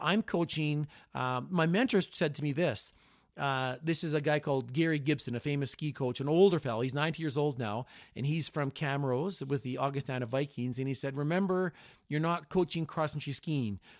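A man with a Canadian accent talks in a plain, everyday voice at a fairly quick pace. His pitch is fairly high with ordinary variation, in a very clean recording with a silent background. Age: 60s. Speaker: cross-country ski coach. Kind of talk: casual chat.

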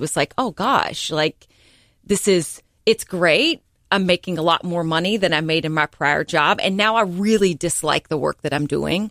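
A woman with an American accent speaks in a plain, everyday voice, fairly low in pitch with ordinary pitch variation, at a moderate pace. The sound is dry and close with no echo. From North Carolina, Hickory. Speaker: entrepreneur and podcast host. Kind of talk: radio interview. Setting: radio studio.

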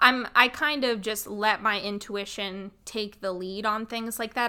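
On a very clean recording with a silent background, a woman speaks loudly at a moderate pace, her fairly high pitch carrying a bright, sharp tone and fairly even intonation. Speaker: podcast host, psychic healer. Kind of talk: storytelling monologue. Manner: casual, chatty.

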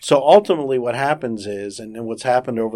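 A man with an American accent speaks at a fairly quick pace in a plain, everyday voice. The recording is very clean, with a silent background. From South Florida. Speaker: insurance regulatory attorney. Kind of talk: interview.

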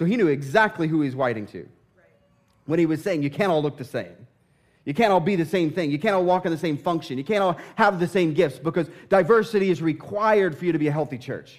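This man talks at a very fast pace with an animated tone and an American accent. His pitch is high, with ordinary variation. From southern Indiana. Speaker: pastor. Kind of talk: sermon. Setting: church.

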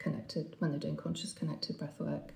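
The speaker is a woman. Behind her, background noise is noticeable. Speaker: breathwork coach. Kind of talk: interview explanation.

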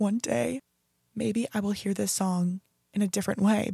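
A dark, mellow, somewhat breathy tone at a moderate pace, with a dry, close sound and no echo. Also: woman. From US Pacific Northwest, Oregon. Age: 20s. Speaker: podcast host and college student. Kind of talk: casual solo podcast.

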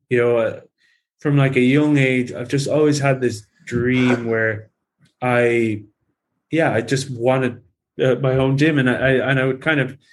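A man with an Irish accent speaks at medium pitch in a monotone, flat intonation. His pace is fairly slow, broken by long, frequent pauses. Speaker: personal trainer and bodybuilder. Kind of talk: casual interview conversation.

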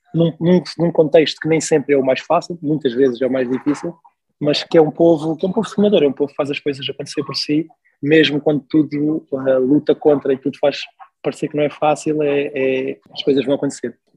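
Fairly quick and somewhat breathy, a man speaks at a fairly high pitch in a dry, close sound with no echo. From Mozambique (Maputo). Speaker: logistics professional. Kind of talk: casual interview. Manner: hesitant, repeats words.

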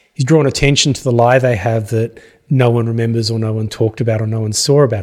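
Talking at a very fast pace, the speaker is a man. He has an Australian accent. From Australia, Gippsland, Victoria. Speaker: history professor. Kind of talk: casual interview. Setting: studio.

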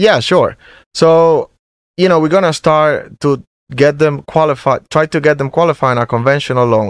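With a Spanish accent, a man speaks at a moderate pace, his pitch fairly high with ordinary variation. His loudness stays very even, and the sound is dry and close with no echo against a quiet background. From Venezuela. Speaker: mortgage loan originator. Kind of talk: interview, professional conversation. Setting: studio.

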